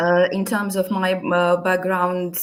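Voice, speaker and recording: At a moderate pace, a woman speaks at a fairly low pitch in a Russian accent. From Latvia. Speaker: immigration adviser. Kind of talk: interview. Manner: halting.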